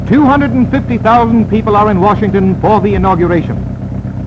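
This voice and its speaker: Noticeable background noise accompanies a man speaking in a high voice. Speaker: newsreel narrator. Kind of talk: newsreel narration. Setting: 1930s archival film recording. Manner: fast, excited.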